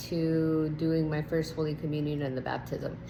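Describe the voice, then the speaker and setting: A woman's very deep, low voice in a Spanish accent, with audible room echo. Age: 30s. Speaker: nurse sharing testimony. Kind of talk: testimony. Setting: at home. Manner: hesitant with many fillers.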